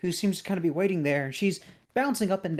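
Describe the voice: Pitch rises and falls in an ordinary way across this plain reading aloud.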